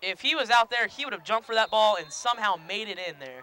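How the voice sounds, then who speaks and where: In an American accent, a man talks at a fairly quick pace with a raised, projected voice, the sound dry and close with no echo. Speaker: student play-by-play announcer. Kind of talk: live commentary. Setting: press box. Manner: loud.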